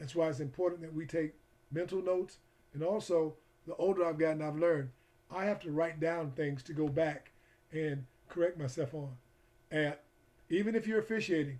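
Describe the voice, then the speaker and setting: A man with an American accent, fairly high-pitched for a man, with fairly even intonation and long, frequent pauses. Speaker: football coach educator and referee. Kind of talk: online coaching lecture. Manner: fast.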